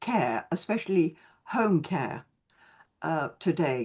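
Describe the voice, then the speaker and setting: Speech comes at a very slow pace with very wide pitch swings. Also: woman, quiet background. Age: 80s+. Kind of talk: webinar panel discussion. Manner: halting.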